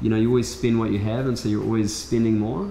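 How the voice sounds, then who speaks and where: A man talks at a very fast pace. Audible room echo and light background noise surround him. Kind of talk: casual conversation. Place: shop.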